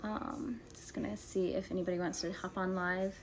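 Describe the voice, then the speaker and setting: A soft-spoken woman. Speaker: homeschooling mom and lifestyle livestreamer. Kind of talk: casual livestream talk. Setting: home livestream. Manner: soft-spoken, quiet; conversational with many fillers.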